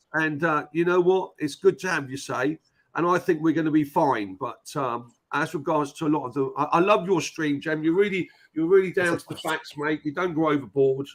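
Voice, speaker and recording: A man talks in a normal speaking voice at a moderate pace, with fairly high pitch and ordinary pitch variation. The recording is very clean, with a silent background. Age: 60s. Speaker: football fan. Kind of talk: casual chat. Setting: live stream.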